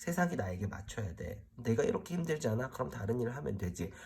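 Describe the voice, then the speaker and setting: Here a man of medium pitch sounds somewhat breathy, with lively intonation. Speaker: tarot reader. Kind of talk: tarot reading explainer to camera. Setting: solo recording in front of camera. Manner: speeds up when focused.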